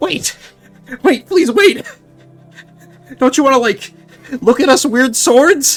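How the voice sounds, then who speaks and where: A shrill, high-pitched put-on character voice speaks at a fairly slow pace with long, frequent pauses. Music plays in the background. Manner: pleading.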